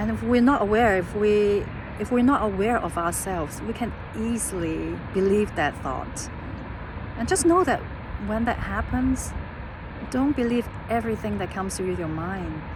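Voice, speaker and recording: A woman with a non-native accent at a moderate pace, long, frequent pauses, audible room echo and noticeable background noise. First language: not English. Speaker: life coach. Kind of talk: casual vlog monologue. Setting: outdoors on a hiking trail. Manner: halting, with fillers and repetitions.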